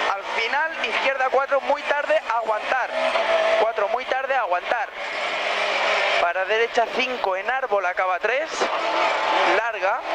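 Speech comes at a very slow pace with long, frequent pauses. Loud background noise runs underneath. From Spain. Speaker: rally co-driver. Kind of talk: rally co-driver reading pace notes. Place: car. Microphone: headset.

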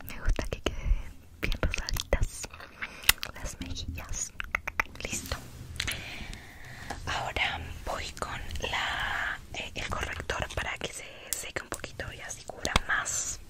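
A woman whispers at a very slow pace, with long, frequent pauses and big swings in loudness. There is noticeable background noise. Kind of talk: ASMR roleplay, makeup. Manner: soft, whispered, intimate.

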